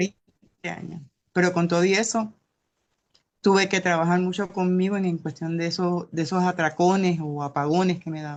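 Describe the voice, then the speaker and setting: A woman's plain, everyday voice, fairly low in pitch, with fairly even intonation and a moderate pace. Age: 60s. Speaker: class participant. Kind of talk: testimony.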